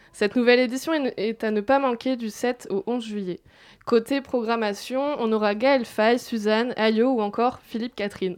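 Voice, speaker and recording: Fairly high in pitch, a woman speaks at a moderate pace with fairly even intonation. Hers is an unremarkable speaking voice against a quiet background. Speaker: festival chronicler. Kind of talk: radio chronicle.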